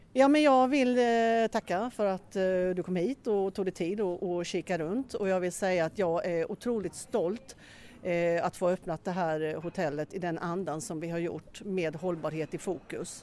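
With an Östergötland accent, a woman speaks at a moderate pace in a medium pitch, her dark, mellow tone showing ordinary pitch variation. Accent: Östergötland dialect from Norrköping. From Norrköping, Sweden. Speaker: hotel director. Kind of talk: interview during a guided tour. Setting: walking tour inside a hotel.

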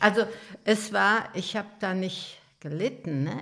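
Speaking at a very slow pace, a woman uses lively intonation and vocal fry. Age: 80s+. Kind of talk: life story interview. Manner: halting.

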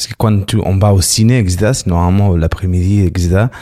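A man's voice with a dark, mellow tone. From Barcelona, Spain. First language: Spanish or Catalan (speaking French). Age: 40s. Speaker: interviewee. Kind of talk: casual chat.

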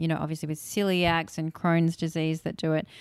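The voice carries an Australian accent and a monotone, flat intonation. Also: woman, very clean recording, silent background. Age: 50s. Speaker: nutritionist and cookbook author. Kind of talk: interview.

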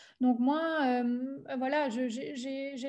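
Her voice is high-pitched, with a dark, mellow tone, fairly even intonation and a slight Alsatian accent as this woman speaks. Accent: slight Germanic Alsatian. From Alsace, France. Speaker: entrepreneur. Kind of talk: interview. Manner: halting.

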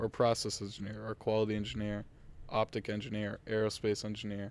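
With an American accent, a man rattles along at a very fast pace, his fairly low voice flat and monotone. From Massachusetts, North Shore. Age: 20s. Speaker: college student, podcast guest. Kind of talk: casual chat.

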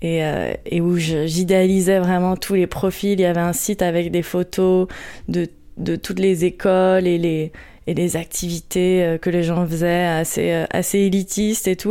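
A woman speaks slowly in a flat monotone with a fairly low pitch and a dark, mellow tone. The recording is very clean, with a silent background. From Paris region, France. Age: 30s. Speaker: meditation practitioner sharing her story. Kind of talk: testimony. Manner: halting, many fillers and repetitions.

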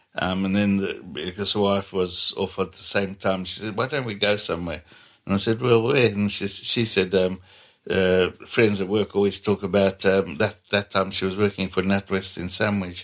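A man speaks with a Zambian accent at a moderate pace. His pitch is fairly low and his intonation fairly even. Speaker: mechanic with own garage. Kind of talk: casual interview chat. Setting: at home.

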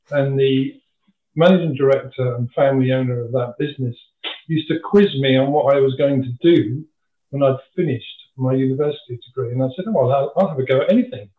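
Fairly high pitch from a man with a southern English accent, ordinary pitch variation and a fairly quick pace. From England, Kent (Dover). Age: 60s. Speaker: retired packaging industry manager. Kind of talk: interview, personal career story.

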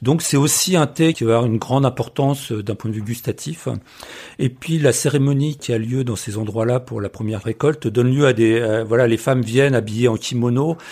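A man with a dark, mellow tone and a somewhat breathy voice talks at medium pitch, moderate in pace, his pitch varying in an ordinary way. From France. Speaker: travel photographer and author. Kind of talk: casual chat. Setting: at home. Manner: halting.

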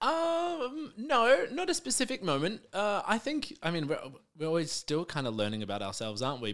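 A man with an Australian accent speaks with lively intonation. The recording is very clean, the background silent. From Melbourne, Australia (south-eastern suburbs). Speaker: drag performer and comedian. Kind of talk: casual interview chat.

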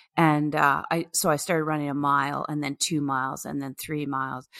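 With a Canadian accent, a woman speaks in a very deep, low pitch and a bright, sharp tone, her intonation fairly even, captured dry and close with no echo. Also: very clean recording, silent background. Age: 50s. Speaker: retired teacher and long-distance cyclist. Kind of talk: interview.

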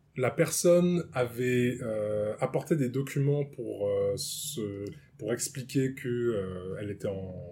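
The speech moves at a very slow pace with lively intonation over noticeable background noise. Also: man, medium pitch for a man. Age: 30s. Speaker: improv actor. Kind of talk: casual chat. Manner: halting.

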